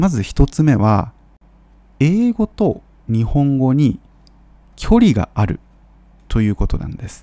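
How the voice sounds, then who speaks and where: A man talks slowly in a dark, mellow tone at a medium pitch, with long, frequent pauses. His pitch swings very widely and his loudness swings a lot, in a dry, close sound with no echo. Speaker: Japanese language teacher podcaster. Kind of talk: educational monologue for Japanese learners. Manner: clear, measured with frequent fillers.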